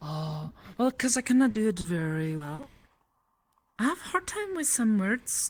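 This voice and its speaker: A woman speaks with lively intonation. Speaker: streamer. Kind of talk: casual chat.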